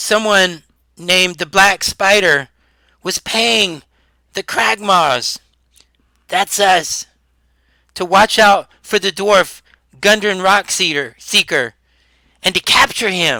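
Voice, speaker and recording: Using a put-on character voice, a man talks in a high pitch at a fairly slow pace, with long, frequent pauses. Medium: actual play. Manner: halting, stammering.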